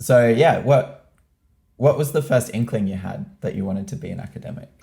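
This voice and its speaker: With an Australian accent, a man talks at a fairly quick pace and medium pitch, his dark, mellow, somewhat breathy voice carrying lively intonation and big swings in loudness. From Australia, Newcastle. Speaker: student podcast host. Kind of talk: interview. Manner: hesitant, many ums.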